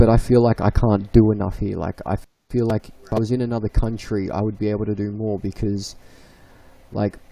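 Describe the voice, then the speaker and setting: A man with an Australian accent talks at a fairly quick pace and fairly low pitch, his tone dark and mellow and his intonation monotone and flat. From Victoria, Australia. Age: 20s. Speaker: livestream guest. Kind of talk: casual chat. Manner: halting.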